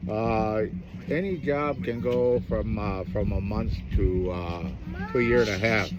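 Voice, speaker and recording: At a fairly slow pace, the speaker is heard with audible room echo and noticeable background noise. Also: man, fairly low pitch for a man, lively intonation. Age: 60s. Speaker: iron worker and fancy dance champion. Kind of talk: interview. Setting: outdoors at a powwow. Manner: halting, many fillers.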